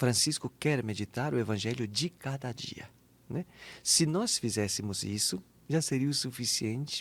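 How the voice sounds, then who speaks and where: The delivery is fairly slow, with ordinary pitch variation. The recording is very clean, with a silent background. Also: man, medium pitch for a man. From southern Brazil, Santa Catarina. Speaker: Capuchin friar and author. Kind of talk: interview conversation.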